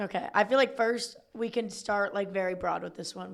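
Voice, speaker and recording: Vocal fry runs through a woman's medium-pitched voice at a moderate pace with ordinary pitch variation. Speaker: student-athlete podcast co-host. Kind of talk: casual chat.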